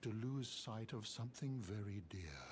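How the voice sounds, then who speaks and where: A put-on character voice at a low pitch speaks at a moderate pace over clear background noise. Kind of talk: archaic fantasy narration. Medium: video game. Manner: courtly, formal, unhurried.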